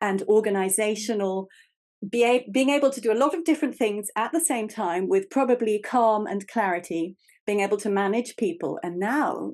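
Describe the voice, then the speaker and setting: In an English accent, a woman talks at a moderate pace with a fairly high pitch and lively intonation against a quiet background. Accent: English accent, called funny. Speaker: podcast host. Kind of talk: interview conversation.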